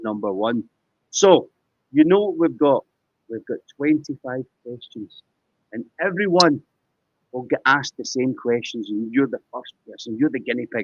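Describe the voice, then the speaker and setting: With a Scottish accent, a man at medium pitch talks at a moderate pace, leaving long, frequent pauses, his intonation lively and his loudness swinging widely. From Scotland. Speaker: poker game show host. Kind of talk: live interview. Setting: live stream.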